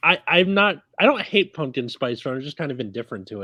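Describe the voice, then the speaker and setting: Against a quiet background, a man with a Californian accent and a fairly high voice talks at a moderate pace in a bright, sharp tone, his pitch swinging very widely. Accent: Californian American English. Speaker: podcast co-host. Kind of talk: casual chat.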